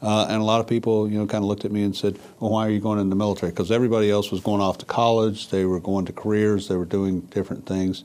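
Speaking very fast, a man keeps a fairly low pitch. His intonation is flat and monotone. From Mississippi. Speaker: government official, military veteran. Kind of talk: interview. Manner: halting.

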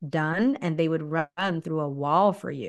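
Ordinary pitch variation and a fairly slow pace mark a plain, everyday voice. Nothing much stirs in the quiet background. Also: woman. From raised in Okinawa, Japan (US military-style third culture kid). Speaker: leadership consultant. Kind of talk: interview.

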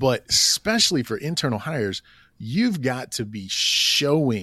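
A man with a Southern US accent on a very clean recording against a silent background. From Oklahoma. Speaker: assistant principal. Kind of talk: casual interview.

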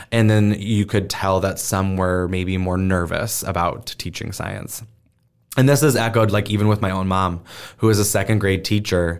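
At a moderate pace, a man speaks fairly low on a very clean recording with a silent background. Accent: American. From US Midwest, Omaha, Nebraska. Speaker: teacher and STEM educator, stand-up comedian. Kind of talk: casual interview.

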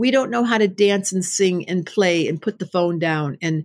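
A woman talks at a moderate pace in an unremarkable speaking voice, fairly low in pitch. Her intonation is lively, and the recording is very clean with a silent background. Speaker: astrologer and psychotherapist. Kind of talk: casual interview.

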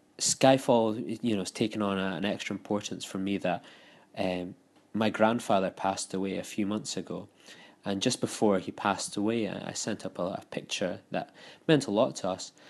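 In a Scottish accent, a man with a fairly low pitch talks at a moderate pace with ordinary pitch variation against a quiet background. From Scotland. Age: 20s. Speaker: listener sending voicemail. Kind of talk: voicemail feedback.

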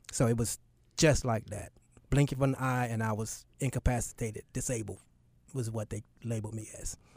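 In an American accent, a man speaks at a fairly quick pace and a medium pitch, somewhat breathy, with fairly even intonation. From US South, Charlotte, North Carolina. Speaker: nonprofit founder. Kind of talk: interview. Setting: radio studio.

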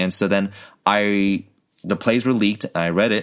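Recorded very cleanly with a silent background, an ordinary speaking voice with an American accent moves at a moderate pace with ordinary pitch variation. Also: man. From California and Korea. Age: 30s. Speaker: actor. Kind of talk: casual chat.

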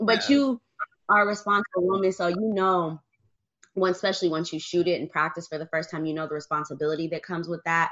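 In an American accent, a woman speaks very fast. Her pitch is fairly low, with ordinary pitch variation. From US, Michigan. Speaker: gun owner and advocate. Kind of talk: casual chat.

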